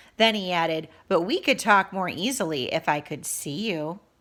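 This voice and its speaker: Using a put-on character voice, a woman growls at medium pitch and a moderate pace in a soothing tone, recorded very cleanly over a silent background. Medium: read story. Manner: growling, harsh then falsely soothing.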